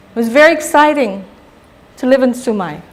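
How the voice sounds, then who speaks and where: With a Guamanian accent, a woman speaks at a high pitch with lively intonation. Audible room echo surrounds her voice. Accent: Chamorro Guamanian English. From Guam (Barrigada). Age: 60s. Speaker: psychologist giving a public talk. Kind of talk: lecture. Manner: animated.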